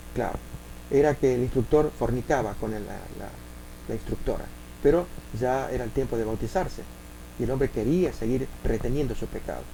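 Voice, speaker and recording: A man with an Argentine accent talks at a fairly quick pace, with noticeable background noise and audible room echo. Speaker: preacher. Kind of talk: sermon. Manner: halting.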